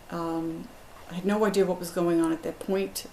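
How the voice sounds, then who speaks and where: Moderately paced, a woman speaks at a medium pitch in a monotone, flat intonation. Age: 60s. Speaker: patient. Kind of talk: testimony. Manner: hesitant with fillers.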